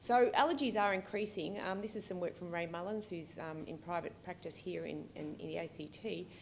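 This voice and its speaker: With an Australian accent and ordinary pitch variation, the speaker's voice carries audible room echo. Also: woman. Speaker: pediatric allergist and researcher. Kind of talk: keynote lecture. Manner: fast; hesitant, many fillers.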